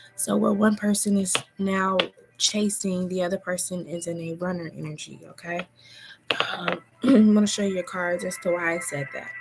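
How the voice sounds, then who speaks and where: A woman's medium-pitched voice at a moderate pace with fairly even intonation, over noticeable background noise. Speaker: tarot reader. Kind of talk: live tarot reading. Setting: at home, livestream. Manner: soft-spoken.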